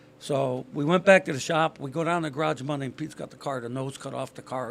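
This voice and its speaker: A man speaks at a very fast pace. His pitch is fairly high. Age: 60s. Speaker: retired race car driver. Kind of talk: casual chat.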